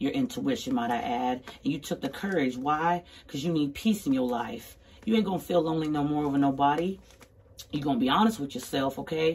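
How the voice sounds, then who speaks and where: A woman speaks with a very deep, low pitch. Her voice swings very widely in pitch. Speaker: tarot card reader. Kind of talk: casual tarot reading. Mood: sassy, emphatic. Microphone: phone near.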